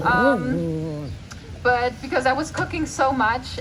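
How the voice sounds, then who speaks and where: Audible room echo hangs around a woman's voice. Noticeable background noise also runs through the clip. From Germany, small town. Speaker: vegan food creator. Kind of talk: festival Q&A.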